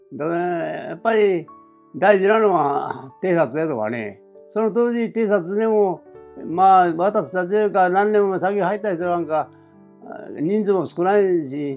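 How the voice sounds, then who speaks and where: A man with a high voice speaks at a fairly slow pace over background music. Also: ordinary pitch variation. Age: 80s+. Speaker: war veteran. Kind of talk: interview answer. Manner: slow, conversational.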